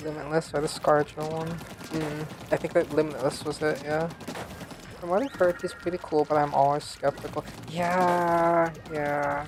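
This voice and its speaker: The speech is mumbled. Noticeable background noise sits behind it. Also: moderate pace. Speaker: vtuber game streamer. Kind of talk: casual gaming livestream chat. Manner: mumbly; casual, filler-heavy.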